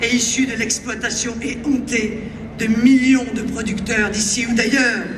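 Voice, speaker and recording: Delivery is fairly slow. Noise in the background can be clearly heard. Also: woman. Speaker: far-right party leader giving a speech. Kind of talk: political rally speech. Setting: outdoors, rally in a public square. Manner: oratorical, forceful, with crowd address.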